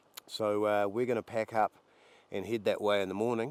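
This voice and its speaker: A man with a New Zealand accent talks fairly quickly at a fairly low pitch. His intonation stays fairly even, and the sound is dry and close with no echo. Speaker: hunting guide. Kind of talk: field narration during a hunt. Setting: outdoors.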